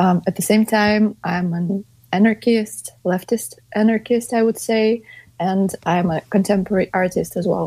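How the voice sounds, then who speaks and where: Fairly slow and somewhat breathy, a woman speaks with fairly even intonation. Her voice sits at a medium pitch. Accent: Russian. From Russia, St Petersburg. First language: Russian. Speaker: anti-war activist and artist. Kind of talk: interview.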